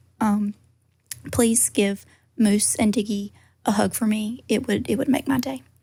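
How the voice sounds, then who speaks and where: A woman speaks in a Georgia accent at a moderate pace, her voice somewhat breathy. Her pitch is fairly high, with ordinary pitch variation. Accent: Southern, Georgia. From US South, Georgia. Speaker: caller. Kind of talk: voicemail question.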